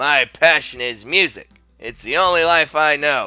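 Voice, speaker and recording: Over faint music in the background, a put-on character voice speaks at a moderate pace. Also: man. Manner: cool.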